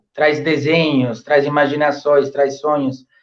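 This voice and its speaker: A man is speaking. He has an Italian accent. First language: Italian (speaking Portuguese). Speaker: professor. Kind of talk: interview. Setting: live stream. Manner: halting, many fillers.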